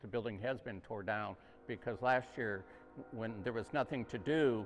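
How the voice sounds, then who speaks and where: Someone with an American accent talks at a fairly slow pace over music in the background. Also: man. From US Midwest, Quad Cities (Moline, Illinois). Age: 80s+. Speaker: community volunteer, dinner organizer. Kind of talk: news interview. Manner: halting.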